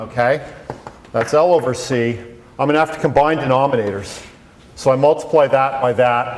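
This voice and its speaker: A man talks at a moderate pace amid noticeable background noise. Room echo is audible. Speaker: physics professor. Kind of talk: lecture.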